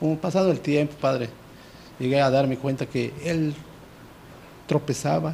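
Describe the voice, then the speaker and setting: Speaking at a moderate pace with long, frequent pauses, a man has a dark, mellow, somewhat breathy tone and fairly even intonation over light background noise. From Yucatán Peninsula, Mexico, Maya village. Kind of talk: testimony. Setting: TV studio. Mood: earnest personal confession. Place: studio. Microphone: handheld.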